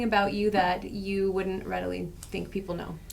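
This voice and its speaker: The recording has audible room echo. Noticeable background noise runs underneath. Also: woman. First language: not English. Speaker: podcast co-host, lawyer. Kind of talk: podcast interview.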